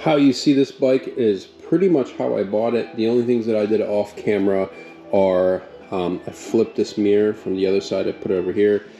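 Faint music plays in the background as a man talks at a fairly quick pace and fairly low pitch, with ordinary pitch variation. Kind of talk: casual vlog chat. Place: garage. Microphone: phone near.

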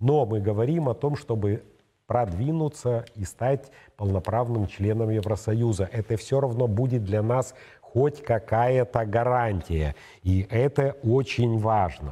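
At a very slow pace, a man with a medium pitch speaks in a dark, mellow, somewhat breathy tone. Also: ordinary pitch variation. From Moldova. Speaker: political commentator and show co-host; political commentator, show co-host. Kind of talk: studio political analysis talk show. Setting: studio. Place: studio. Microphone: lapel.

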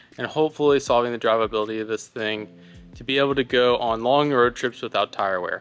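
A man rattles off his words very fast while music plays faintly behind him. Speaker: host. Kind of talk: casual vlog chat. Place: workshop. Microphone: phone near.

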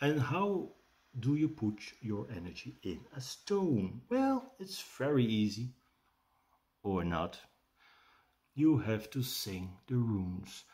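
A man with a Dutch accent speaks very slowly, somewhat breathy, with very wide pitch swings. Long, frequent pauses break up his speech against a quiet background. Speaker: rune teacher and shaman. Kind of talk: tutorial with guided meditation. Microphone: webcam.

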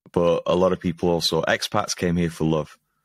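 Against a quiet background with a dry sound and no echo, a man with a Lancashire accent talks at a fairly quick pace in a very deep, low pitch. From Preston, Lancashire, northern England; northern England. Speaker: stand-up comedian and comedy show organiser; stand-up comedian. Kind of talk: casual interview chat. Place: home room.

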